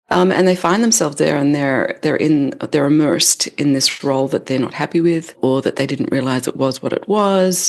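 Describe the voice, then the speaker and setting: A woman's very deep, low voice with an Australian accent. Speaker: leadership development expert, author. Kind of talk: podcast interview.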